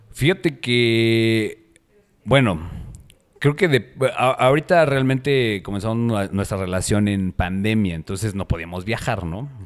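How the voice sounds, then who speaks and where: A man's medium-pitched voice in a central Mexican accent, fairly slow with lively intonation. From Mexico City. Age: 40s. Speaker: personal trainer. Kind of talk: casual chat.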